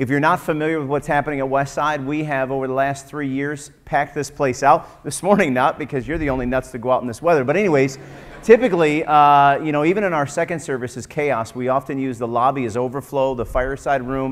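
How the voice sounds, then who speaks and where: A man talks at a very fast pace with hardly any pauses and fairly even intonation. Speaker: pastor. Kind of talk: sermon. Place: church.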